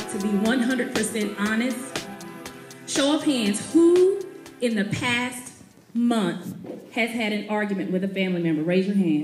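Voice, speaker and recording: A woman's fairly high, upbeat voice at a moderate pace, with lively intonation, long and frequent pauses, and music in the background. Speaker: motivational speaker. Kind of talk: live speech to an audience. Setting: event hall, live audience. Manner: humorous, upbeat.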